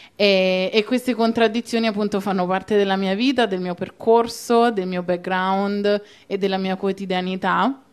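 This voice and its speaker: A woman with a medium-pitched voice speaks at a moderate pace with fairly even intonation. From Italy, Rome. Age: young. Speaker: activist; guest. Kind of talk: panel discussion. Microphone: handheld.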